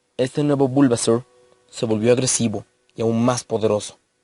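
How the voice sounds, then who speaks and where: A man speaks at a moderate pace in a medium pitch, with fairly even intonation. The sound is dry and close with no echo, and music plays in the background. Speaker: creepypasta narrator. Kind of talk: horror story narration.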